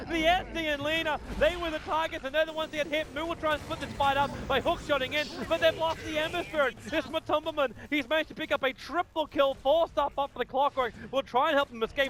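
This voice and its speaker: Over noticeable background noise, a man with an Australian accent talks at a very fast pace in an extremely high pitch with an animated tone. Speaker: esports commentator. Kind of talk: live commentary. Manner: fast, animated.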